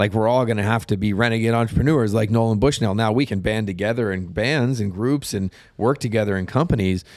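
A man with an American accent speaks at a very fast pace in a fairly low voice, with hardly any pauses. The recording is very clean, with a silent background. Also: ordinary pitch variation. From Colorado, US. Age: 40s. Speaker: entertainment and tech entrepreneur. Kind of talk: casual interview.

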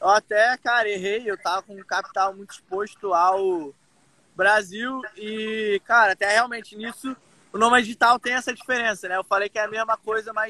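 A man's high, raised and projected voice with a bright, sharp tone, fairly even intonation and a moderate pace, in a dry, close sound with no echo. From Brazil, Rio de Janeiro. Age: 20s. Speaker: digital nomad entrepreneur. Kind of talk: casual interview.

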